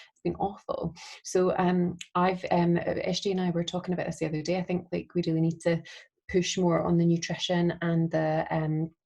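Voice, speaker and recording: A woman's fairly low voice, somewhat breathy and dark and mellow in tone, stays monotone and flat in intonation but shows big swings in loudness. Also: moderate pace. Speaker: fitness coach. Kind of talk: casual chat. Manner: soft-spoken.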